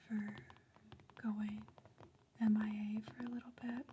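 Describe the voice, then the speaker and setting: The speaker whispers, soft-spoken, over noticeable background noise. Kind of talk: casual talk to camera. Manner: soft-spoken, whispered.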